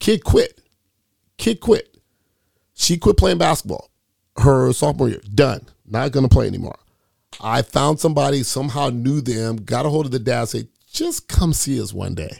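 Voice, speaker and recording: A man's medium-pitched, animated voice with an American accent and vocal fry, with lively intonation at a moderate pace and long, frequent pauses. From Sacramento area, California. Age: 50s. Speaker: basketball coach. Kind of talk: casual chat.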